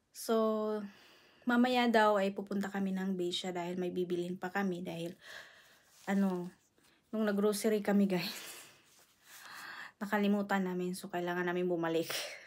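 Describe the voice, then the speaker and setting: In a very clean recording with a silent background, a woman speaks at a medium pitch and a moderate pace, her intonation monotone and flat, with long, frequent pauses. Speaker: vlogger. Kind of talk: casual vlog. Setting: at home. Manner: soft-spoken, lowered voice.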